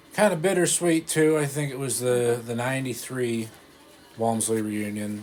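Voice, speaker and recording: A man talks at a moderate pace in a medium pitch. He has a plain, everyday voice with ordinary pitch variation. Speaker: grandchild interviewer. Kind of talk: casual interview questions.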